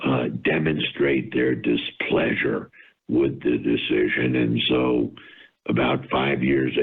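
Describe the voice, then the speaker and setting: A man with a very deep, low pitch speaks at a fairly slow pace in a monotone, flat intonation. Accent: American. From New York (Scarsdale). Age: 70s. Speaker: retail company founder. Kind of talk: interview.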